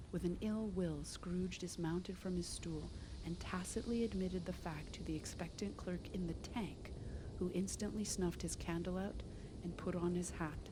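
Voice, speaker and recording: A woman speaks softly. Her pace is moderate. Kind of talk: read story. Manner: soft-spoken.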